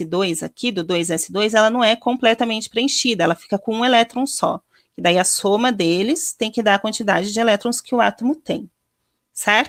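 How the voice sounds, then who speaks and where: A plain, everyday voice from a woman, fairly high in pitch with ordinary variation, at a moderate pace, dry and close with no echo. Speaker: chemistry teacher. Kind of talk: lecture.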